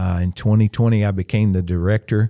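In a dry, close recording with no echo and a silent background, a man with a Southern US accent talks at a moderate pace in a fairly low pitch with a dark, mellow tone. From US South, upstate South Carolina. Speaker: pastor. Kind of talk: casual interview. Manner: casual, filler-heavy.

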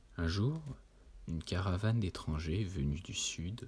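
Very deep and low in pitch, a man speaks at a very slow pace in a somewhat breathy voice with lively intonation. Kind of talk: literary audiobook reading of Lovecraft tales, solemn gothic narration. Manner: slow, measured and formal, with a dreamy, hushed storyteller's cadence; grave and atmospheric, lingering on long sentences with a somber tone.

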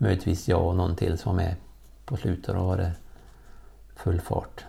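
At a moderate pace, a man speaks with a very deep, low pitch, a somewhat breathy, dark, mellow tone and ordinary pitch variation. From Värmland, Sweden. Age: 50s. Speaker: former elite distance runner. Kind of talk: interview. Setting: at a kitchen table at home.

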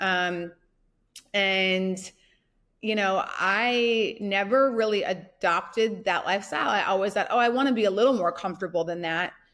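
Recorded very cleanly against a silent background, a woman with an American accent uses a plain, everyday voice at a medium pitch, a moderate pace and ordinary pitch variation. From US Midwest, North Dakota. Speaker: entrepreneur. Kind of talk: casual interview.

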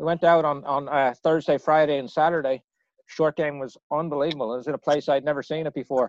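A man with an Irish accent talks at a very fast pace in a fairly high, monotone voice with flat intonation. The sound is dry and close with no echo, and the background is quiet. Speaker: podcast host. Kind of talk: casual chat.

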